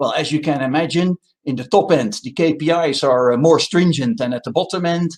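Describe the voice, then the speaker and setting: A man with a Dutch accent, fairly high in pitch, at a moderate pace with ordinary pitch variation. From Netherlands. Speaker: telecom consultant. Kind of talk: conference presentation.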